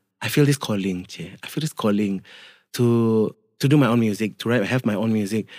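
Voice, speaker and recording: A man with a Malaysian accent at a fairly quick pace and ordinary pitch variation, in a very clean recording with a silent background and a dry, close sound with no echo. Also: medium pitch for a man. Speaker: singer, guest. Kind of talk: casual interview chat. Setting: studio.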